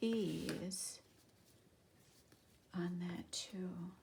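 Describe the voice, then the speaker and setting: A woman's somewhat breathy, medium-pitched voice in a monotone, flat intonation, with audible room echo. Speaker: crafting YouTuber. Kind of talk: tutorial. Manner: casual, thinking aloud.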